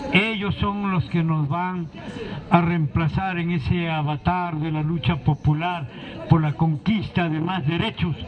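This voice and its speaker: Noticeable background noise sits behind a man with a high pitch and ordinary pitch variation, talking at a very slow pace. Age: 60s. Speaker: political activist. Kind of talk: public speech.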